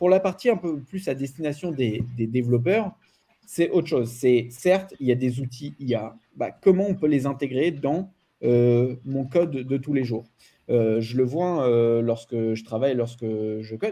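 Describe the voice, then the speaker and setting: Delivered at a fairly slow pace, this voice carries a dark, mellow tone and lively intonation. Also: man, medium pitch for a man. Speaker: data and AI expert, trainer. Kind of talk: panel discussion. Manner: loud; animated.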